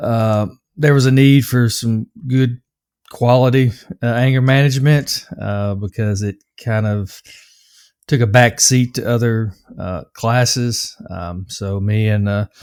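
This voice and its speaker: A man with a slight Southern US accent talks at a fairly slow pace and medium pitch. His intonation is fairly even, and the recording is very clean with a silent background. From US South, Nashville, Tennessee. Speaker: anger management coach. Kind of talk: interview. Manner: hesitant, many fillers.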